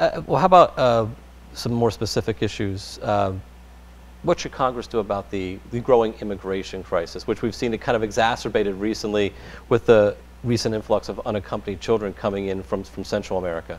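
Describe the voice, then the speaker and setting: The voice carries vocal fry. Its pace is fairly quick. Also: man, fairly low pitch for a man, ordinary pitch variation. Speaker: radio interviewer. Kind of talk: interview questions.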